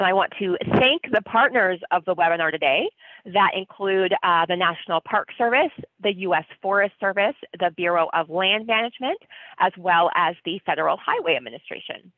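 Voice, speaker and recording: At a moderate pace, a woman speaks with ordinary pitch variation in a dry sound with no echo against a quiet background. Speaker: webinar host. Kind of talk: webinar introduction. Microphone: webcam.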